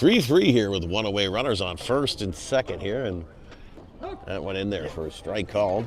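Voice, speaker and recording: The speech moves at a moderate pace with ordinary pitch variation, and noticeable background noise is present. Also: man, fairly low pitch for a man. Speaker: baseball play-by-play broadcaster. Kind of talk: live commentary. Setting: broadcast booth at ballpark.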